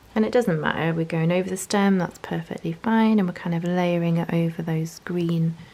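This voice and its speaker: A woman with a dark, mellow tone talks at a fairly low pitch and a fairly quick pace. Her intonation is fairly even, and she takes hardly any pauses. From northeast England, Newcastle. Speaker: journaling and watercolour tutorial creator. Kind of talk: tutorial. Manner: casual, chatty.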